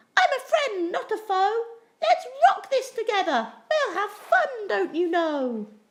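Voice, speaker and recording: Using a squeaky, put-on character voice at an extremely high pitch, a woman speaks at a fairly slow pace. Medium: read story. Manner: small, timid.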